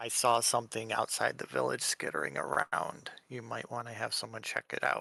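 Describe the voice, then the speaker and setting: A man does a put-on character voice, quiet and raspy. His pitch is medium and his pace moderate. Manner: hushed, urgent.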